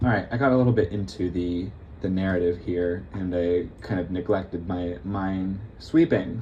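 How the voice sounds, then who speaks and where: A man talks at a moderate pace. His tone is dark and mellow, and somewhat breathy. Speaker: gaming youtuber. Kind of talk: casual gameplay commentary. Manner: soft-spoken; halting.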